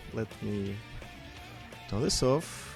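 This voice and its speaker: A man speaking at a fairly slow pace with ordinary pitch variation, music in the background. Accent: Russian. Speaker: streamer. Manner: hesitant, many filler words.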